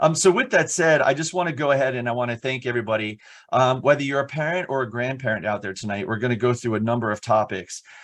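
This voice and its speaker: Talking at a very fast pace with hardly any pauses, a man with an American accent keeps a medium pitch and ordinary pitch variation. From New Jersey. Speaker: internet safety speaker. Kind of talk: webinar presentation. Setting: online webinar. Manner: loud.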